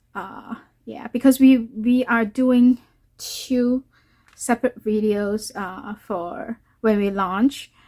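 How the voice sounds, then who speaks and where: A woman with a Cantonese accent speaks very slowly in a fairly high, dark and mellow voice, her intonation fairly even and the sound dry and close with no echo. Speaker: watercolor artist and YouTuber. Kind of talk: tutorial. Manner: halting, many fillers.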